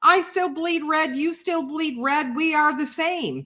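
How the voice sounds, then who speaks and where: Her voice is raised and projected, with a bright, sharp tone and an extremely high pitch. This woman has an American accent and ordinary pitch variation. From New York City. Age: 60s. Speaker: livestream host and writer. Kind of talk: casual chat. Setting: live video stream. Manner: animated.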